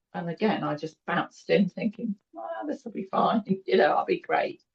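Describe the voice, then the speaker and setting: A woman with a British accent and a medium pitch sounds somewhat breathy. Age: 60s. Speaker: cancer survivor interviewee. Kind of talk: interview.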